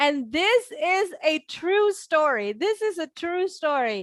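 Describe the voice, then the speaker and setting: This woman's voice sits at an extremely high pitch, with a bright, sharp tone. She speaks at a very slow pace, and the sound is dry and close with no echo. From Indonesia, Central Java. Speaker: speaker. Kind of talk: motivational talk. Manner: repetitive.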